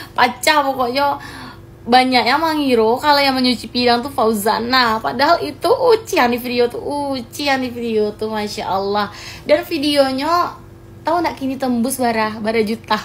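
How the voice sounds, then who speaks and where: High female voice, moderate in pace and ordinary in pitch variation. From West Sumatra, Pasaman Barat. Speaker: social media content creator. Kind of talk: vlog clarification. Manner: animated.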